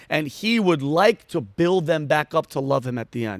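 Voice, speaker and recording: The voice has an animated tone and very wide pitch swings, captured in a very clean recording with a silent background and a dry, close sound with no echo. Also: man. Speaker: comedian and military veteran. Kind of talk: casual interview chat. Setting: studio. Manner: fast.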